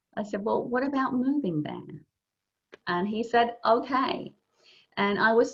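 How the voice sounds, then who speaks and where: Somewhat breathy, fairly slow speech from a woman with lively intonation. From England. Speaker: networking coach. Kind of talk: informal talk to English learners.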